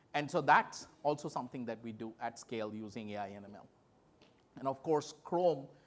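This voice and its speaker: A man with a Bengali accent talks at a medium pitch. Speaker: tech company executive. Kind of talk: conference keynote talk.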